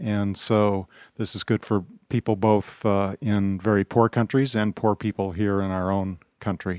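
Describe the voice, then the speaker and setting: In a very clean recording with a silent background and a dry, close sound free of echo, a man speaks fairly slowly at a fairly low pitch with monotone, flat intonation. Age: 60s. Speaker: charity walk participant. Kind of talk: short testimony/interview statement. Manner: halting, many fillers.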